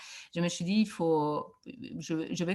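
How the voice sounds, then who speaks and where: Very slow speech in a Barcelona accent, with ordinary pitch variation and a quiet background. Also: woman. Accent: Barcelona accent, audible. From Catalonia, Spain (Reus, near Barcelona). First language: Catalan or Spanish (speaking French). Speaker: education researcher. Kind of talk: conference talk. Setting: video call. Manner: hesitant, many fillers.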